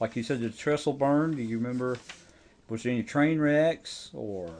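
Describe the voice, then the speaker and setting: Here is a plain, everyday voice: a man at a medium pitch with an American accent, speaking at a moderate pace with ordinary pitch variation. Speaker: oral history interviewer. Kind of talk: interview questions.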